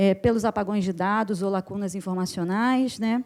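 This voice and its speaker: With a dark, mellow tone, the woman talks at a moderate pace with ordinary pitch variation. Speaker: academic researcher, conference panelist. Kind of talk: conference panel talk. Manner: many fillers and self-corrections.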